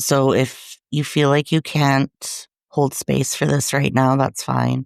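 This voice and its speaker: A woman talks at a very slow pace with very even loudness. The recording is very clean, with a silent background and a dry, close sound with no echo. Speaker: grief support podcast host. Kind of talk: podcast monologue. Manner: gentle, soothing.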